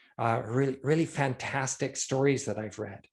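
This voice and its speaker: Against a quiet background, a man speaks at a moderate pace in a somewhat breathy voice. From Scotland. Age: 60s. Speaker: illustrator and concept artist. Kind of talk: casual chat.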